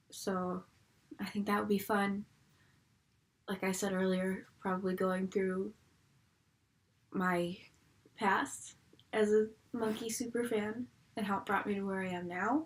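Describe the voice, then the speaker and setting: A woman with a strong Buffalo accent at a fairly slow pace, fairly even intonation, and long, frequent pauses. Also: medium pitch for a woman. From Buffalo, New York. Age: 20s. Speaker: YouTuber. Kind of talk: casual vlog. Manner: casual, filler-heavy.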